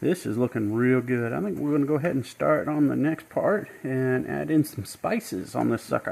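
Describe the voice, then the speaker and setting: A man with a Southern US accent speaks at a moderate pace, his medium pitch carrying lively intonation. The recording is very clean, with a silent background. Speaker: home cook, author. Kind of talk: cooking demonstration. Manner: casual, friendly.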